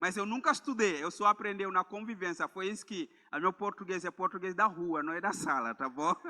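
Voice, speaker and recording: A man speaks in a raised, projected voice at a moderate pace, his pitch high for a man and his tone bright and sharp, in a dry, close sound with no echo. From Gambia. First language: Mandinka or another Gambian language (speaking Portuguese). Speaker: missionary preacher. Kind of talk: sermon. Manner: halting, with repeated words.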